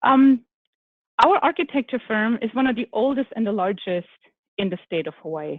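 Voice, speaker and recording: A woman's fairly high voice with lively intonation and a German accent. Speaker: architect, firm executive. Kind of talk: panel discussion. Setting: virtual summit.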